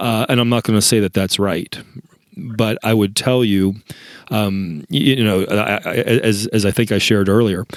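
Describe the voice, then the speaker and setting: His fairly low voice shows ordinary pitch variation and keeps a moderate pace. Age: 50s. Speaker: pharmacist and leadership coach. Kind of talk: interview. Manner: halting.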